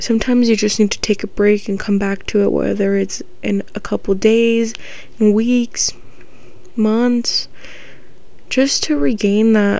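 Speaking at a medium pitch and a fairly slow pace, a woman with an American accent keeps fairly even intonation amid noticeable background noise and audible room echo. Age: 20s. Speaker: podcast host. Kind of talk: casual monologue.

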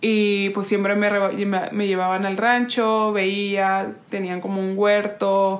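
A woman's medium-pitched voice comes through in a flat monotone, with audible room echo and noticeable background noise. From Oaxaca, Mexico. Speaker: podcast co-host, renewable energy engineer. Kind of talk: casual chat. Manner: halting, many fillers.

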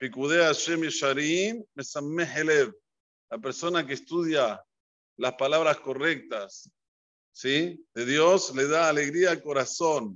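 A man speaks at a very slow pace, his fairly high pitch moving with ordinary variation. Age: 50s. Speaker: rabbi teaching Torah. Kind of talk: religious lesson.

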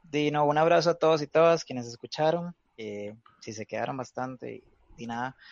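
A man with a Costa Rican accent speaks at a fairly high pitch and a moderate pace, with ordinary pitch variation and big swings in loudness. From Costa Rica, Guanacaste (Cañas). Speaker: punk musician. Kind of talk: casual chat.

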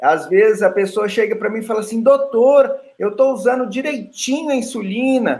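A man speaks at a moderate pace with an extremely high pitch. His pitch varies in an ordinary way. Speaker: ophthalmologist. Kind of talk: expert panel talk on video call. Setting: video call.

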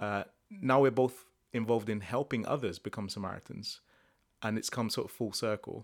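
The very clean recording has a silent background and an unremarkable speaking voice at a moderate pace with ordinary pitch variation. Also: man, medium pitch for a man. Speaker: podcast host. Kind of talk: casual interview chat.

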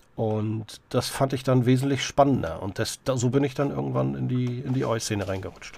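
Noticeable background noise runs under a man speaking at a moderate pace. His pitch is medium and his intonation fairly even. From Greifswald, northeastern Germany. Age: 40s. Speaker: social worker and punk singer. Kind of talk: casual interview chat.

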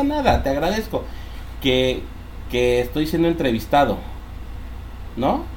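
A man with a Mexican accent at a moderate pace, with audible room echo and noticeable background noise. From Mexico (born Mexico City, raised near Villahermosa, Tabasco). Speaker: entrepreneur and podcast co-host. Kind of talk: casual chat. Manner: halting, many repetitions.

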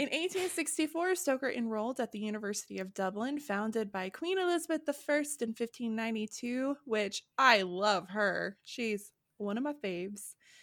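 A woman with a fairly high, animated voice, very wide pitch swings, a moderate pace and hardly any pauses, on a very clean recording with a silent background. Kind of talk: casual chat and history storytelling. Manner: animated, jokey.

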